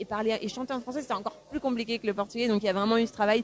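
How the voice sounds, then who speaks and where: Her pitch sits fairly high for a woman. She keeps a fairly even intonation. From France (Pau). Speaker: singer. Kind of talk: interview. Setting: newspaper café interview. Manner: hesitant, many fillers.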